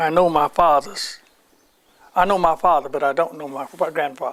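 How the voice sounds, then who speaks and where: At a moderate pace, a man speaks with an American accent and a high pitch. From US South. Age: 90s. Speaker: World War II veteran. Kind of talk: oral history interview.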